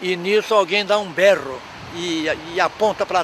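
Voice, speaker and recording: High pitch from a man, with noticeable background noise throughout. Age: 80s+. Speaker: elderly local resident interviewee. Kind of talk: reminiscing interview.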